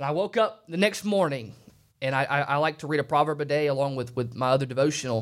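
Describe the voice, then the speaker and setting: Recorded very cleanly against a silent background, a man with an ordinary speaking voice at medium pitch talks at a fairly quick pace. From Alabama, US South. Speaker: preacher. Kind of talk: sermon. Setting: studio.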